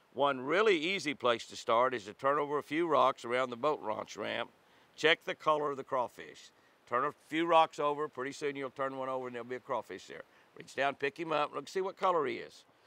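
At a fairly quick pace, a man speaks in a bright, sharp tone with ordinary pitch variation and big swings in loudness, in a dry sound with no echo. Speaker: devotional host. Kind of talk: devotional reading and tutorial. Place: forest.

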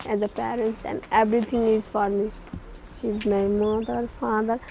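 Noticeable background noise sits behind a woman speaking in a monotone, flat delivery. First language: Nepali. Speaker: agriculture development worker. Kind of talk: documentary interview.

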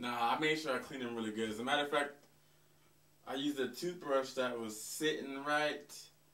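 Audible room echo is noticeable in this recording. A man talks with fairly even intonation. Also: fairly quick pace. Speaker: comedy sketch actor. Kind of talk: scripted comedic dialogue. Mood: casual, slightly defensive. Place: home room.

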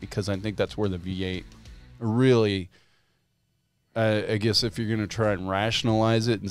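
A man with a fairly low pitch is recorded dry with no echo, faint music playing in the background. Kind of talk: casual podcast discussion. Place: studio. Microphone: studio mic.

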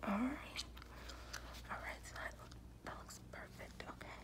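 A woman's voice over loud background noise. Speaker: piercer or piercing vlogger. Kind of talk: casual vlog chat. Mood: relaxed, friendly. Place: home room. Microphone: phone near.

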